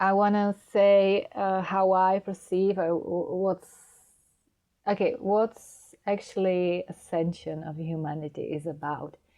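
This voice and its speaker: Speaking at a very slow pace with a non-native accent, a woman keeps a medium pitch and fairly even intonation. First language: Czech. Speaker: spiritual guide. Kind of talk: spiritual talk to camera. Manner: halting.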